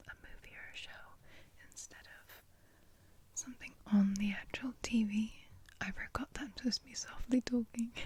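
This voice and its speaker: A whisper moves at a moderate pace, broken by long, frequent pauses. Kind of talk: ASMR soft-spoken and whispered rambling. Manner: soft-spoken.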